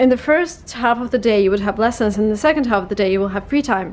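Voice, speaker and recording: With a slight Russian accent, a woman speaks at a fairly high pitch with ordinary pitch variation. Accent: slight Russian accent, non-native. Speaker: English learning vlogger. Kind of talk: vlog tips talk. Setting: language school in London. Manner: casual, conversational.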